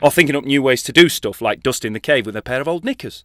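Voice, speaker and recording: A man's playful tone at medium pitch, with noticeable background noise. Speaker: narrator; actor. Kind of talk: children's animated short narration. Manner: playful, comic.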